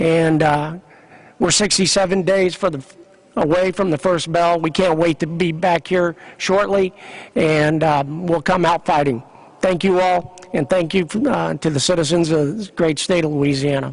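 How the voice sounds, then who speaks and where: At a moderate pace, a man with an American accent speaks in a high pitch. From Kansas. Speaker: sports organization executive. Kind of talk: press conference speech. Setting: convention center news conference.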